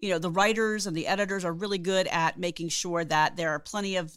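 A woman talks at a fairly quick pace in a plain, everyday voice, pitched fairly low. The recording is very clean, with a silent background. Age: 50s. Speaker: podcast co-host. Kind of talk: casual banter podcast.

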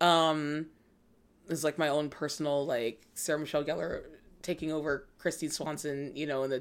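In a very clean recording with a silent background, a woman with a Californian accent speaks at a very deep, low pitch in a monotone, flat intonation. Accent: Californian American. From Los Angeles. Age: 20s. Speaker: talent manager. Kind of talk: casual chat.

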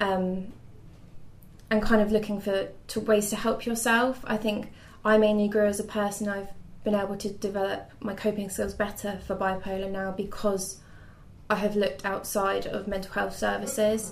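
With audible room echo, a woman of medium pitch talks at a moderate pace in a monotone, flat intonation. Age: 20s. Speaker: mental health patient sharing experience. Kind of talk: interview. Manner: hesitant.

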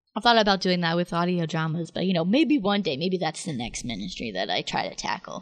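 Lively intonation and vocal fry mark this very fast-paced speech. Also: woman, fairly low pitch for a woman. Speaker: podcast host, college student. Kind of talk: casual chat.

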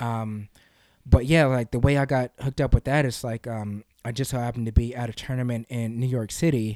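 An American-accented man speaks at a fairly quick pace with a medium pitch, a dark, mellow tone and fairly even intonation. The sound is dry and close with no echo, on a very clean recording with a silent background. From US South, Kentucky. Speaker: wrestler and youth sports coach. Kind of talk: interview. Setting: studio.

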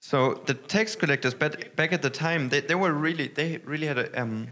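With a German accent, a man speaks with ordinary pitch variation. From northern Germany. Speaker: pastor. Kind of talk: sermon. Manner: halting, many fillers.

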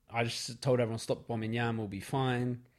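A man talks in a medium pitch. The recording is very clean, and the background is silent. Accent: London. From London. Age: 20s. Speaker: photographer. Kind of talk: casual chat. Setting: studio.

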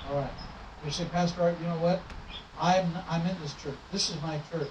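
Noticeable background noise sits under a man talking at a fairly quick pace with a fairly high pitch. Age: 60s. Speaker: pastor. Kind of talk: sermon. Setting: church. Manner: animated.

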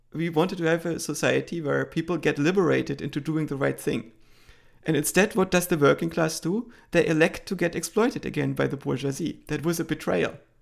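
A man's fairly high-pitched voice with a German accent and vocal fry, fairly quick in pace with ordinary pitch variation, in a very clean recording with a silent background. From East Germany. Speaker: AI researcher. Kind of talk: interview.

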